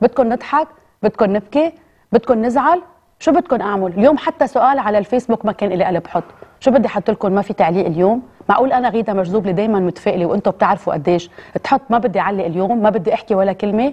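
Talking very fast, a woman uses a fairly high pitch and lively intonation. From Lebanon. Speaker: TV presenter. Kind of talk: emotional address to camera. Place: studio.

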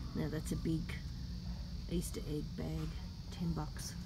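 Very slow speech over music in the background. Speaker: shopper vlogger. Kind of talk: casual vlog chat. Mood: delighted, gushing. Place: shop. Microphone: phone near.

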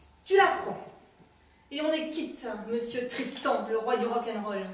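Very slowly, a woman speaks at a high pitch with big swings in loudness, and the room echo is audible. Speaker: stage actor. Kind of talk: theatrical monologue. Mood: angry, distressed retelling. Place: stage. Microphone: camera far.

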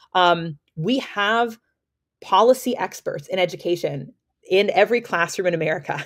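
A woman speaks at a moderate pace with ordinary pitch variation and big swings in loudness against a quiet background. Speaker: education policy advocate. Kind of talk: podcast interview. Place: home room. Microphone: webcam.

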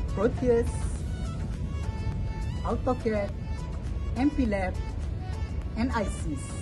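Clear music plays behind a man who talks at a very slow pace, leaving long, frequent pauses. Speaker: job applicant. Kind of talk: video job application. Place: garden.

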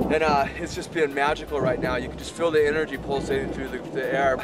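In a dry sound with no echo, a man talks at a very fast pace over loud background noise. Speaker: travel show host. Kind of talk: presenter piece to camera. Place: open country.

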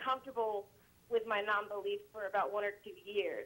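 At a moderate speed, a woman talks in a fairly high pitch with an ordinary speaking voice. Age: 20s. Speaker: caller. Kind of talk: personal phone call. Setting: phone call.

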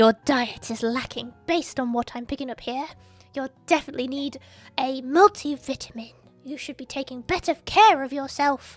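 A woman's stern, put-on character voice at a moderate pace, faint music in the background. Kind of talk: comic game dialogue reading. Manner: stern, bossy.

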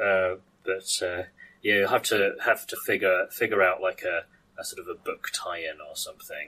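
A man speaks with a British accent at a fairly slow pace. His loudness swings widely. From UK. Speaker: podcast host. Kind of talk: casual chat. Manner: halting.

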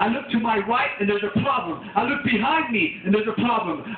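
A man speaks at an extremely high pitch and a fairly quick pace, with ordinary pitch variation. Light background noise and audible room echo surround him. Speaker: preacher. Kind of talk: tent revival sermon. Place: tent. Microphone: camera far.

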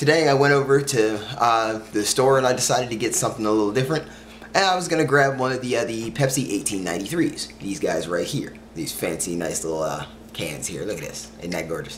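The speech runs at a fairly quick pace over light background noise. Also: man. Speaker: vlogger. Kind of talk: casual vlog chat. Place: home room. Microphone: camera far.

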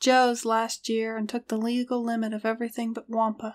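Someone is reading aloud in a natural voice.

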